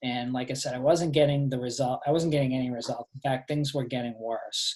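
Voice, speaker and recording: Somewhat breathy and in a Boston accent, a man speaks at a medium pitch and fairly quick pace with monotone, flat intonation. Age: 40s. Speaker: fitness coach. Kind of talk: presentation on a group call. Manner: hesitant, many fillers.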